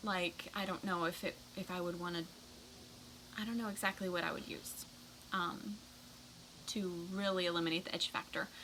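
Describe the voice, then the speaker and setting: Speaking at a medium pitch and moderate pace, a woman keeps her intonation fairly even and leaves long, frequent pauses. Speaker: knitting podcaster. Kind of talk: casual chat. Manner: halting.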